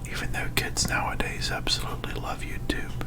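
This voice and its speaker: The voice is a whisper at a moderate pace. Noticeable background noise runs underneath. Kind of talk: casual whispered ramble over gameplay. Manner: whispered.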